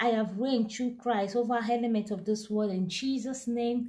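A woman's dark, mellow tone with ordinary pitch variation against a quiet background. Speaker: devotional reader. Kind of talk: sermon-like reading and commentary. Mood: fervent, earnest. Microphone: phone near.

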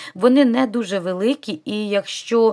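Her intonation lively, a woman speaks with a fairly high pitch. The recording is very clean, with a silent background. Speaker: knitting vlogger. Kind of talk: craft tutorial vlog.

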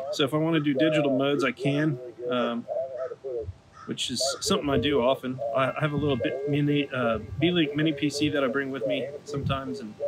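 A man talks over loud background noise, his pitch rising and falling in an ordinary way. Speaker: amateur radio hobbyist. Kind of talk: casual vlog chat. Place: garden. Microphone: phone near.

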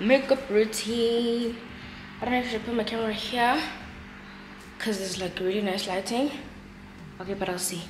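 Over noticeable background noise, a woman talks at a moderate pace with long, frequent pauses. Her pitch varies in an ordinary way. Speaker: vlogger. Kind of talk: casual vlog chat. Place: home room. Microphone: phone near.

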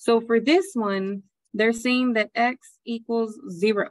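The woman's voice has a dry sound with no echo. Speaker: math teacher. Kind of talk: lecture. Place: home room. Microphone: webcam.

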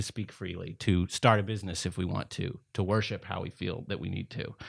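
At a moderate pace and a fairly low pitch with ordinary variation, a man with an American accent speaks over a quiet background. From East Texas. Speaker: lawyer and management consultant; lawyer. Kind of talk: debate. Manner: halting. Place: meeting room. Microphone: studio mic.

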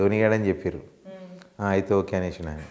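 Over light background noise, a man speaks with a Hyderabadi accent in a dark, mellow tone. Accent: Hyderabadi Telangana Telugu with Urdu words. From Hyderabad, Telangana, India. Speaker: film comedian. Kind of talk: casual interview chat. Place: studio.

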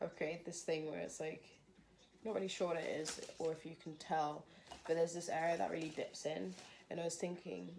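A woman's fairly low-pitched voice with vocal fry, fairly even intonation and a fairly quick pace, against noticeable background noise. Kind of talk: casual tutorial vlog. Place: home room. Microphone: phone near.

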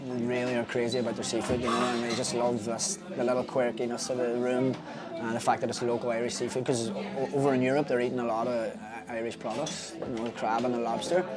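A man's very fast speech over clear music in the background. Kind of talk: interview answer. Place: cafe. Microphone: phone near.

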